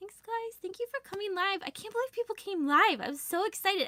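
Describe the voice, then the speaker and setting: A woman's raised, projected voice sits at an extremely high pitch, with a bright, sharp tone and lively intonation. She goes at a very fast pace with hardly any pauses and big swings in loudness, in a dry, close sound with no echo. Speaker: planner shop owner and YouTuber. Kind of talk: live stream chat.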